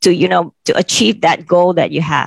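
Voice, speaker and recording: A woman speaks at a moderate pace with vocal fry. The sound is dry and close, with no echo. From Thailand, Bangkok. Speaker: bank sales head. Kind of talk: panel discussion. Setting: video call webinar.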